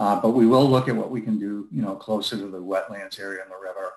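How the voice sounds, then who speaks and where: A man's unremarkable speaking voice, fairly low in pitch and fairly quick in pace, over a quiet background. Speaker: company representative. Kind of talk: public meeting discussion. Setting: video call.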